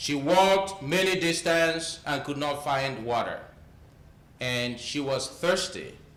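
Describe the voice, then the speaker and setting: Amid noticeable background noise and audible room echo, a man with an African accent speaks at a very slow pace in a fairly high pitch with ordinary pitch variation. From eastern Nigeria. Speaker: climate justice speaker, doctoral student. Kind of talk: talk with a story.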